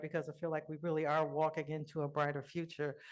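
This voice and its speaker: An American accent is heard. Nothing else can be heard in the background. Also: woman. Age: 60s. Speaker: physician and patient advocate, moderator. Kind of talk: conference talk. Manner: animated.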